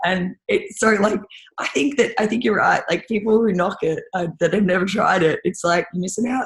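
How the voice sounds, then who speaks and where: Here a woman speaks in an Australian accent, her voice somewhat breathy and medium in pitch. She keeps a moderate pace with ordinary pitch variation. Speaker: rowing and ski erg coach. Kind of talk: casual chat. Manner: animated.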